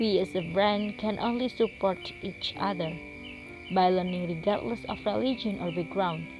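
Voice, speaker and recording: Over music in the background, a woman with a Javanese accent speaks at a moderate pace, medium in pitch, with lively intonation. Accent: Indonesian (Javanese). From Indonesia, Java. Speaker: university student. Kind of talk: scripted narration.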